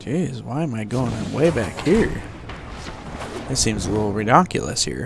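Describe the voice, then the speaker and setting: Noticeable background noise runs under a man speaking at a moderate pace with long, frequent pauses. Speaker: gaming YouTuber. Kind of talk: casual gameplay commentary. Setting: home recording, voiceover on gameplay. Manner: casual, low-energy, chatty.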